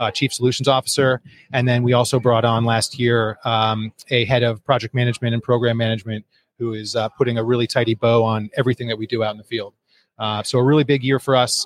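A man with an American accent speaks at a very fast pace in a monotone, flat delivery at medium pitch. The recording is very clean with a silent background and a dry, close sound with no echo. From US Northeast, northeastern Connecticut. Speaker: company founder and CEO. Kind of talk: interview. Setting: live at a conference in Honolulu.

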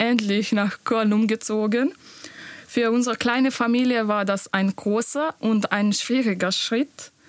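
Very slowly and with fairly even intonation, a woman speaks with a Bosnian accent, the sound dry and close with no echo. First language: Bosnian (speaking German). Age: 20s. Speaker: nurse. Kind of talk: interview.

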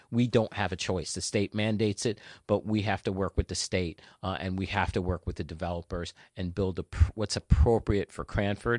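With a New Jersey accent, a man speaks at a moderate pace and with fairly even intonation, in a dry, close sound with no echo against a quiet background. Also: fairly low pitch for a man. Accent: New Jersey American. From New Jersey (North Jersey). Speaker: local politician. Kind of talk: interview.

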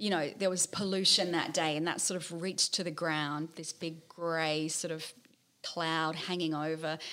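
Her tone bright and sharp, a woman speaks at a moderate pace and a fairly low pitch. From New Zealand (Auckland). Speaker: author. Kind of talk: casual interview chat.

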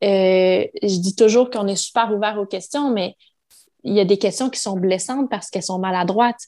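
At a moderate pace, a woman talks with medium pitch, ordinary pitch variation and a dark, mellow tone. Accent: Quebec. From Quebec. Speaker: mother, podcast guest. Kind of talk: casual interview.

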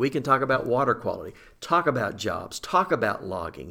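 A man with an Arkansas accent and a bright, sharp tone, at a moderate pace with ordinary pitch variation. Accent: Southern US (Arkansas). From Southeast Arkansas. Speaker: forestry association executive. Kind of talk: casual interview.

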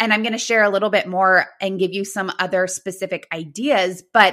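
At a moderate pace, a woman speaks with a bright, sharp tone at medium pitch. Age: 30s. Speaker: physical therapist and podcast host. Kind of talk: solo podcast monologue.

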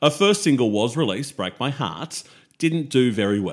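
At a moderate pace, a man with an Australian accent and vocal fry speaks in a very clean recording with a silent background. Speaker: music podcast co-host. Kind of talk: casual chat.

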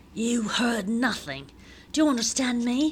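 In a put-on character voice, a female-sounding speaker talks at a moderate pace, high-pitched, raspy and hissing, over clear background noise. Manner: menacing.

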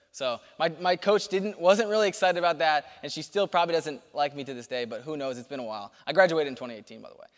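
Speaking very fast with lively intonation and big swings in loudness, a man with an American accent has a fairly high pitch. The recording is very clean, with a silent background. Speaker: youth ministry speaker. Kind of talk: sermon. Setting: church. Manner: fast talker.

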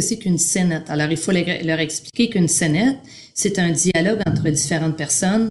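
Somewhat breathy and moderate in pace, a woman talks with lively intonation. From Quebec. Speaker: primary arts teacher. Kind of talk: interview.

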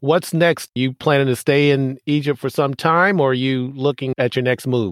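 A man speaks in an unremarkable speaking voice, fairly high in pitch, with ordinary pitch variation, very even loudness and hardly any pauses. The sound is dry and close with no echo, on a very clean recording with a silent background. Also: moderate pace. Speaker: podcast host and naval academy alumnus. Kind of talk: casual interview.

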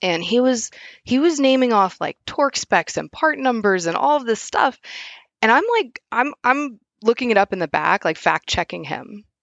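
Speaking at a moderate pace with an American accent, a woman lets her pitch swing very widely. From US Midwest, southwest Missouri. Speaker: automotive field service engineer. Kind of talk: casual interview.

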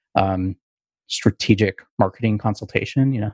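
A man talks at a fairly quick pace in a plain, everyday voice, with a quiet background and a dry, close sound with no echo. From Canada. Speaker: business marketer, podcast co-host. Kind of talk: casual chat.

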